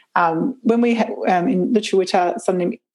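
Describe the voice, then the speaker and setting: With an Australian accent, a woman speaks at a medium pitch and with fairly even intonation. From Brisbane, southeast Queensland, Australia. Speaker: permaculture educator and climate activist. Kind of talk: casual interview conversation.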